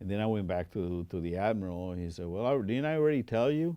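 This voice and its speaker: Talking at a very fast pace, a man with a Puerto Rican accent has a dark, mellow tone against a quiet background. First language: Spanish. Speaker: air force veteran. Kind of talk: oral history interview.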